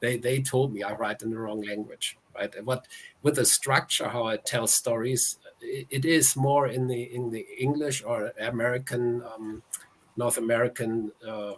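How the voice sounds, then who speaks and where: This man speaks in a German accent. His pitch sits in the medium range. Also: fairly even intonation, moderate pace. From Germany. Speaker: author. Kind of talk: interview.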